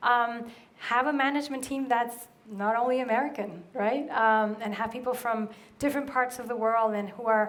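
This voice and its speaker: A woman with a Spanish accent speaks at a moderate pace in a fairly high voice, her intonation fairly even and the room echo audible. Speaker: brand strategist. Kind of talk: conference Q&A. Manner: casual, many fillers.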